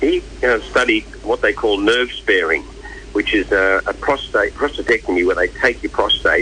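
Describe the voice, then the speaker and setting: Noticeable noise fills the background. Over it, a man talks at a moderate speed. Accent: Australian. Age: 60s. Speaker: charity event chairperson. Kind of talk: radio interview. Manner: halting, many fillers and repeats.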